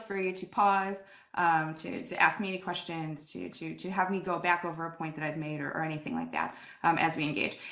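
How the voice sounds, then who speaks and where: At a fairly quick pace, a bright, sharp voice swings widely in loudness over audible room echo. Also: woman. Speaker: assessment speaker with philosophy background. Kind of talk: lecture. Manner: fast; animated.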